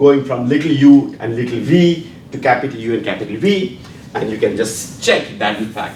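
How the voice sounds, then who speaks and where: A man speaks at a medium pitch with lively intonation, with audible room echo and noticeable background noise. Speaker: physics professor. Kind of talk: lecture. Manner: halting, with fillers and repetitions; fast.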